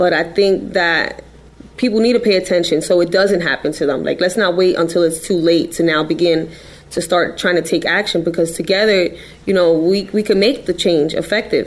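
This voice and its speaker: A woman with an American accent, fairly low pitch, fairly even intonation and very even loudness at a moderate pace, with noticeable background noise. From New York City, the Bronx. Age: 20s. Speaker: crime victim's relative. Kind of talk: interview. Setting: studio.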